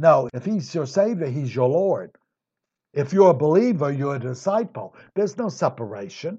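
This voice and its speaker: At a moderate pace, a man with a fairly high pitch speaks in a dark, mellow, somewhat breathy tone, making very wide pitch swings. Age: 60s. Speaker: Bible teacher. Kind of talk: Bible study lecture. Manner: conversational.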